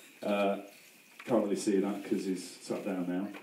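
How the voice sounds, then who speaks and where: A man speaks with a British accent. Audible room echo hangs around his voice. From UK. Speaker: best man. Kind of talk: wedding speech. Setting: wedding reception. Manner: humorous, hesitant. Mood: joking, playful. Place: tent. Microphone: pa.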